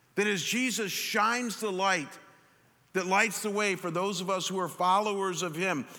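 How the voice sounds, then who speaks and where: At a moderate pace, a man with a high pitch speaks in a raised, projected voice with a bright, sharp tone and fairly even intonation. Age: 50s. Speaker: pastor. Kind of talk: sermon. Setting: church with congregation. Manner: halting, with frequent repetitions.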